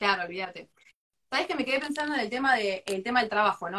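Lively intonation in a woman's fairly high-pitched voice. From Argentina, La Plata. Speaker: architect and interviewer. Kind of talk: live stream interview. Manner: animated.

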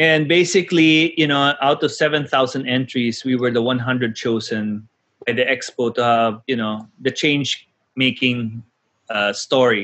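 A man speaks at a medium pitch. His pitch varies in an ordinary way against a quiet background. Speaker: social entrepreneur. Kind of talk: casual chat.

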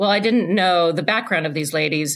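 A woman's normal speaking voice, fairly low in pitch, with ordinary pitch variation. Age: 50s. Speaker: ultra runner and running coach. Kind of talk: casual interview chat.

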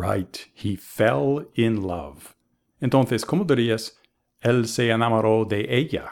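Using an ordinary speaking voice, a man with an American accent talks at a fairly slow pace in a medium pitch with lively intonation. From US, Boston. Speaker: English teacher. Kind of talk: language lesson.

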